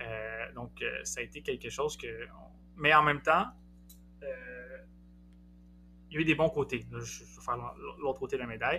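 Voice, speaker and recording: With music in the background, a man with a Quebec accent speaks at a moderate pace. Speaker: postdoctoral researcher in psychology. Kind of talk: interview podcast.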